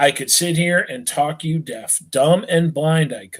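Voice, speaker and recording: Fairly high in pitch with ordinary pitch variation, a man speaks in an unremarkable speaking voice. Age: 40s. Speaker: teacher reading a novel to students. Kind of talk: reading aloud. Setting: live online stream.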